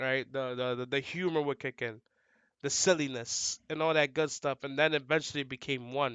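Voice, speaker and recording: A man with a New York accent, fairly high pitch, fairly even intonation and a moderate pace. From New York City, the Bronx. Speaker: fighting game commentator and player. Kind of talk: casual podcast interview. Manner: loud, outgoing.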